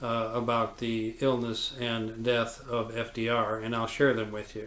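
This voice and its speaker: A man's medium-pitched voice at a fairly slow pace, with audible room echo. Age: 70s. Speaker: surgeon. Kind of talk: lecture. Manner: halting, frequent fillers.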